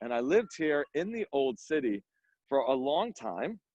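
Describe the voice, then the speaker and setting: Animated and lively in intonation, a man speaks with a fairly high pitch. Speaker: tour guide. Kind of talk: guided walking tour. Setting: outdoors. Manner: fast.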